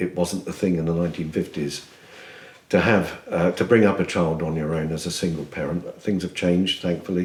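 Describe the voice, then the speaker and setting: A man speaks with a very deep, low pitch. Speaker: retired firefighter and LGBTQ activist. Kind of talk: interview testimony. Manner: hesitant with fillers.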